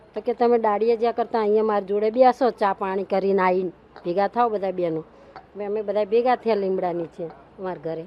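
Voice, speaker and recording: A woman speaks at a medium pitch with fairly even intonation. Noticeable background noise runs behind her. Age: 50s. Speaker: street food cook. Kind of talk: interview.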